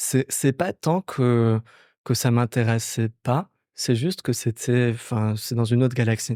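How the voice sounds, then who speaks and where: Delivery is fairly slow, with fairly even intonation and a dark, mellow tone. The recording is very clean with a silent background, and the sound is dry and close with no echo. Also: man. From Morocco, Casablanca. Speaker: startup founder. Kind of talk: podcast interview.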